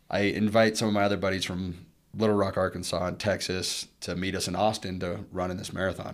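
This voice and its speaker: A man's very deep, low voice with an American accent, monotone and flat at a fairly quick pace, on a very clean recording with a silent background. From Colorado, Arvada (Denver suburb). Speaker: former college football linebacker, businessman. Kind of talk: casual interview. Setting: studio at a university business school.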